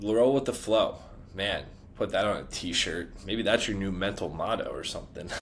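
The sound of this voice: A man with a low-pitched voice talks with lively intonation. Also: moderate pace.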